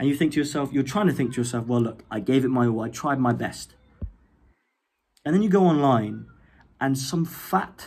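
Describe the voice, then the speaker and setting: A man speaks with an English accent at a moderate pace. His pitch is medium, with ordinary pitch variation. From England. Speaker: YouTuber. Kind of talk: rant. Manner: animated; halting.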